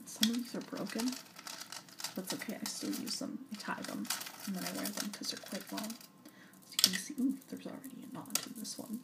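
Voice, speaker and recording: A soft-spoken woman whispering at a fairly quick pace over noticeable background noise. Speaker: ASMR video creator. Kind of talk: ASMR whispered talk to camera. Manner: soft-spoken, whispering.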